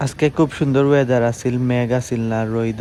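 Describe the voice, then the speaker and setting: Someone speaks in a Sylheti accent over noticeable background noise. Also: man. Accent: Sylheti Bengali. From Bangladesh, Sylhet (Beanibazar). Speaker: vlogger. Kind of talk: vlog narration.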